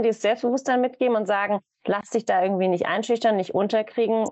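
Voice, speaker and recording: A woman's very fast speech at a fairly high pitch, with fairly even intonation. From Germany, Hamburg. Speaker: events manager. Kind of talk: casual interview.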